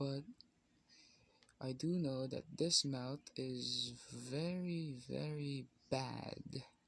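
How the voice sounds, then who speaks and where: A man with a non-native accent talks at a very slow pace. He leaves long, frequent pauses. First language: not English. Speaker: content creator drawing on camera. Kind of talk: casual vlog monologue while drawing. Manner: halting, many fillers.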